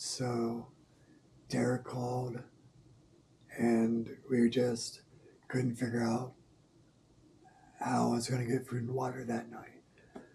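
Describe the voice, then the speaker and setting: The delivery is very slow, with long, frequent pauses. The intonation is monotone and flat over noticeable background noise. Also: man, medium pitch for a man. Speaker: quadriplegic vlogger. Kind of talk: casual health update vlog. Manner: hesitant, with fillers.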